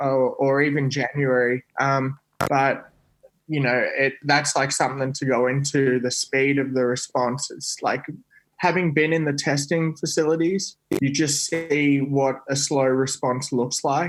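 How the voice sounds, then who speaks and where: A man with a fairly high pitch speaks at a fairly slow pace in a monotone, flat delivery. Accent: Australian. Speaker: scientist. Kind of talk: casual chat. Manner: halting.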